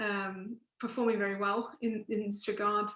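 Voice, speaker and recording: The voice has an English accent, a bright, sharp tone and monotone, flat intonation. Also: woman. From England. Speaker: professor. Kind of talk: panel talk. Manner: halting.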